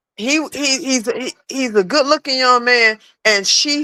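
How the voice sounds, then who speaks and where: Very wide pitch swings and an animated, bright, sharp tone at a moderate pace, in a very clean recording with a silent background and a dry, close sound with no echo. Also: woman. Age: 50s. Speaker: live stream caller. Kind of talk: heated casual chat.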